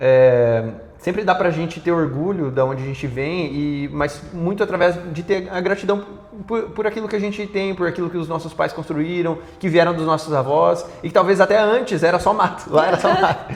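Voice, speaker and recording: A man's high voice with ordinary pitch variation, moderate pace and noticeable background noise. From interior of Paraná, Brazil. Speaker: startup CEO. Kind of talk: TV interview.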